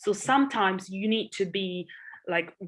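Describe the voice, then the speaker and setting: A woman talks at a fairly slow pace in a Polish accent. Her pitch is medium, and the background is quiet. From Poland. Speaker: entrepreneur and investor. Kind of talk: podcast interview.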